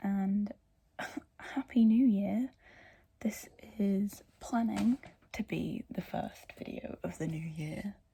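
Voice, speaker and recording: Quiet, very slow speech with long, frequent pauses. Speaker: book vlogger. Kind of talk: casual vlog talk. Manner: hesitant, many fillers.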